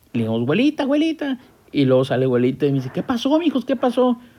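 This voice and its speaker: The voice belongs to a man and sits high in pitch. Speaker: podcast host. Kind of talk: casual chat.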